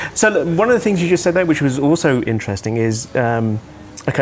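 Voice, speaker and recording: A man's lively intonation amid noticeable background noise. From English Midlands, Birmingham. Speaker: podcast host. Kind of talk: casual interview.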